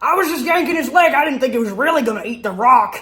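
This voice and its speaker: A put-on character voice, high in pitch, at a very fast pace. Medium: audio drama.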